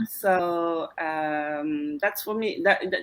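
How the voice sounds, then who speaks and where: Her voice is fairly low in pitch, and this woman speaks with a French accent. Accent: non-native English, French. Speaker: live stream co-host, online entrepreneur. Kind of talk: casual live-stream chat. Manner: hesitant, with fillers.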